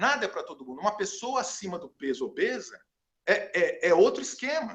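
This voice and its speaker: The man talks at a fairly quick pace. His loudness swings a lot. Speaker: channel host. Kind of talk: casual chat. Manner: fast.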